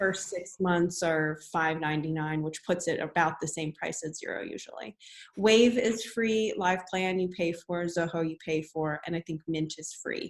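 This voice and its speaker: Hardly pausing at all, a woman speaks at a moderate pace with a fairly low pitch and ordinary pitch variation. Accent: New Jersey. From New Jersey. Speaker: business workshop presenter. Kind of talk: webinar presentation.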